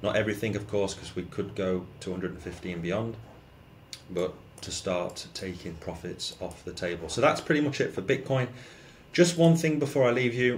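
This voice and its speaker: A man with a fairly low, somewhat breathy voice swings very widely in pitch and shows big shifts in loudness. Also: moderate pace. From UK. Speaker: crypto YouTuber. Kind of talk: market commentary vlog. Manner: casual with frequent fillers.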